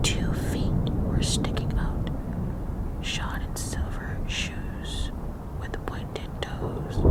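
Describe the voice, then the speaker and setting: A woman whispers very slowly as noticeable background noise carries on behind her. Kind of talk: ASMR story reading. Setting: thunderstorm sounds in background. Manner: whispered.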